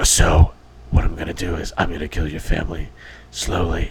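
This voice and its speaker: Whispering at a fairly quick pace, a man puts on a character voice. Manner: menacing.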